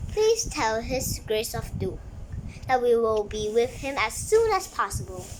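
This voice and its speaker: Someone uses a put-on character voice at a moderate pace. Clear background noise can be heard. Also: woman. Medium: read story. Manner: polite, courteous.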